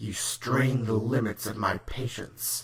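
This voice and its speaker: A man's growling, put-on character voice at a medium pitch and a fairly slow pace. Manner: menacing, impatient.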